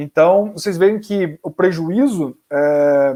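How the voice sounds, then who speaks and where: Lively intonation rides on the dark, mellow tone of this man's voice. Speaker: psychologist and researcher. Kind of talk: webinar lecture. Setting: online webinar.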